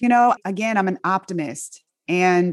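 A plain, everyday voice: a woman with an American accent at a fairly low pitch and fairly slow pace, ordinary pitch variation, and a dry, close sound with no echo. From Inglewood, California. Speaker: physician. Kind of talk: interview.

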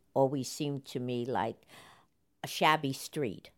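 A woman with a New York accent, very deep and low in pitch, at a fairly slow pace. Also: very clean recording, silent background. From New York, the Bronx. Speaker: interviewee recalling city life. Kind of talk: interview reminiscence.

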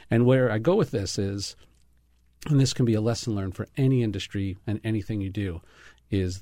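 On a very clean recording with a silent background, a man with an American accent talks in a dark, mellow tone with ordinary pitch variation. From New York, Brooklyn. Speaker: chef and restaurateur. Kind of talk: casual chat.

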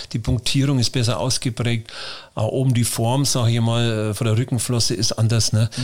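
A man talks at a moderate pace in a monotone, flat intonation, his loudness very even throughout. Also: medium pitch for a man. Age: 60s. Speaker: fish farmer. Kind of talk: interview.

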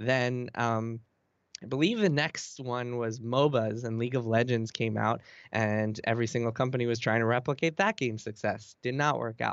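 With a plain, everyday voice, a man speaks at a moderate pace and medium pitch, keeping his intonation fairly even. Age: 30s. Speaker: video game journalist. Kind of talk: casual interview.

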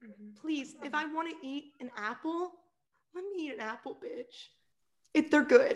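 A woman speaks at a moderate pace with a high pitch and very wide swings in it. Her speech is broken by long, frequent pauses. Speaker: podcast co-host. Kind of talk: casual chat. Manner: animated.

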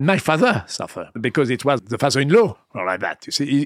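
A man with a French accent speaks at a medium pitch, fairly quickly, with lively intonation and an animated tone. The recording is very clean, with a silent background. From France, Vendée. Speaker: winemaker. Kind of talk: interview. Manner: animated, digressive.

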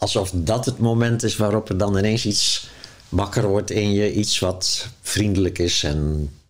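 Using an ordinary speaking voice, a man talks at a fairly low pitch and a fairly slow pace, with ordinary pitch variation and very even loudness. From Zeeuws-Vlaanderen, Netherlands. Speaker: author and spiritual teacher. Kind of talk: in-depth interview. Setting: at his home.

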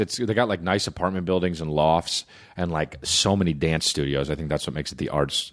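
A man's very deep, low voice at a fairly quick pace, with a New Jersey accent. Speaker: comedian. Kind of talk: casual chat.

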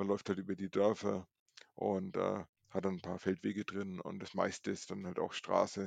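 The speed is moderate. There is no echo, and the sound is dry and close. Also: man. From Franconia, Nuremberg. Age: 40s. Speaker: streak runner. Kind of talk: casual interview.

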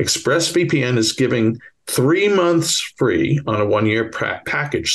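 In a Bronx accent, a man speaks at a fairly slow pace with vocal fry. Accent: Bronx New York.

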